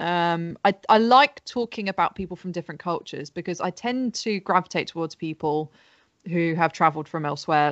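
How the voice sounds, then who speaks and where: The voice is an unremarkable speaking voice. It moves at a fairly quick pace with ordinary pitch variation. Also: woman. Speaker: stand-up comedian. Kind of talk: casual chat and stand-up.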